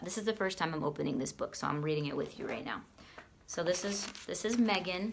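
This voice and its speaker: Her pitch varying in an ordinary way, a woman talks with an American accent. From US Northeast, Boston. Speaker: fitness coach and product seller. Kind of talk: casual product walkthrough video. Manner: fast.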